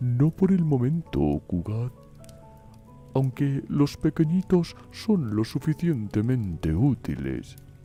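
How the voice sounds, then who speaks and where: Over clear music in the background, a man does a put-on character voice at medium pitch, with very wide pitch swings and a very slow pace. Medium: read story. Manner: casual and fussy.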